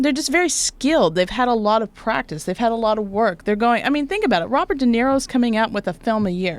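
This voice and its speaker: Speaking at a very fast pace with hardly any pauses, a woman with an American accent uses lively intonation at a fairly high pitch. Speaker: actor and talk show host. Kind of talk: interview. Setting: studio.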